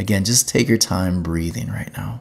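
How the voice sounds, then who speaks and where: A man talks at a fairly slow pace in a plain, everyday voice. His intonation is lively. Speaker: teaching pastor and podcaster. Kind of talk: guided meditation, then teaching talk; monologue podcast teaching. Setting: podcast, solo recording. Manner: calm, slow, soothing; gentle, instructive.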